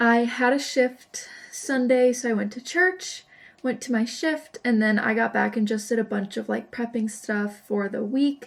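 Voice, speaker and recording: Fairly high-pitched with ordinary pitch variation, this woman has a plain, everyday voice. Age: 20s. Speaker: vlogger. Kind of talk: casual vlog talk. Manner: chatty.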